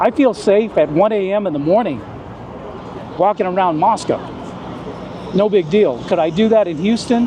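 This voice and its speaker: Over noticeable background noise, a man with a high pitch speaks at a moderate pace in an animated tone, leaving long, frequent pauses. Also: ordinary pitch variation. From US South, rural south Texas. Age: 60s. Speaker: former police officer, expat. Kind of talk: interview.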